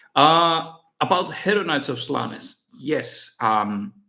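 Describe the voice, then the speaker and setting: With a Finnish accent, a man speaks in a bright, sharp tone and lively intonation. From Finland. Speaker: miniature painting youtuber. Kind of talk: live stream Q&A. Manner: halting, many fillers and repeats.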